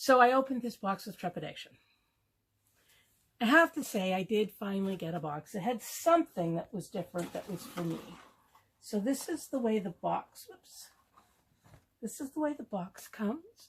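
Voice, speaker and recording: The speaker moves at a moderate pace with long, frequent pauses, sounding somewhat breathy, and the pitch swings very widely. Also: woman. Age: 60s. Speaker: beauty product youtuber. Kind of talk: unboxing video. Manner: hesitant, with fillers.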